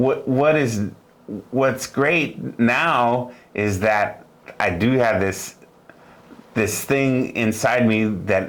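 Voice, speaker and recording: A man's very slow, echoing speech with long, frequent pauses, ordinary pitch variation and very even loudness. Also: medium pitch for a man. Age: 60s. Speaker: music teacher. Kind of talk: interview. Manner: halting.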